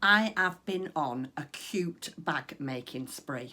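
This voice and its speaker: A woman with a northern English accent speaks in a bright, sharp, fairly low voice with very wide pitch swings. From northwest England. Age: 50s. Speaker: craft vlogger. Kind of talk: casual chat. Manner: chatty, frequent ums.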